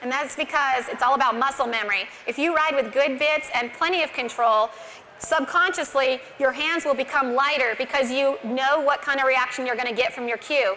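A woman with an American accent projects her raised voice at a high pitch, with ordinary pitch variation and a moderate pace, over light background noise. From Montana. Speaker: barrel racer and horsemanship clinician; presenter. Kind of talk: tutorial. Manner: halting. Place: stage. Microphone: lapel.

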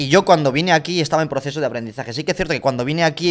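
Very fast speech with fairly even intonation over a quiet background. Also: man. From Georgia, moved to Spain as a teen. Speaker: content creator and footballer. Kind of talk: casual interview chat. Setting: livestream studio. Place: studio. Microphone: studio mic.

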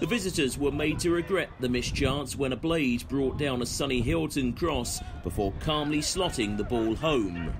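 Over noticeable background noise, a man with a fairly high voice sounds energetic, his intonation lively and his moderate pace broken by hardly any pauses. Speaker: club highlights commentator. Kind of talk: sports commentary, match highlights voiceover. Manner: brisk, energetic.

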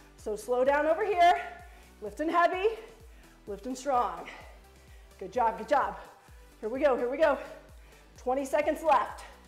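A woman at high pitch and moderate pace, with big swings in loudness, long, frequent pauses, audible room echo and faint music in the background. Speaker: fitness instructor. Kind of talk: workout coaching cues. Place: gym. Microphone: camera far.

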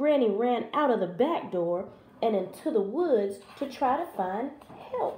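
This is reading aloud in a natural voice. The intonation is lively.

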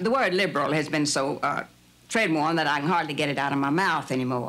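A woman is speaking here. Her pitch is very deep and low. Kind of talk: interview answer. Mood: earnest, hopeful. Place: home room.

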